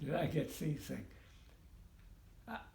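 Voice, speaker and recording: This man speaks at a fairly slow pace with vocal fry. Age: 80s+. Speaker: war veteran. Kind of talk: interview answer. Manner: slow, hesitant.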